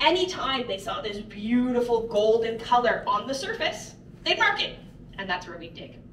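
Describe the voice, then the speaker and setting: A woman speaks with a high pitch at a fairly quick pace. Audible room echo and light background noise are in the recording. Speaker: mine tour guide. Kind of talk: guided tour talk. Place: tunnel cave.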